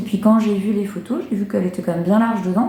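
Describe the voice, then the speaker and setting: Speaking at a very fast pace, a woman has a medium pitch. Noticeable background noise and audible room echo are present. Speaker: knitting and sewing podcaster. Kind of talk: casual vlog chat. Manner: hesitant, many fillers.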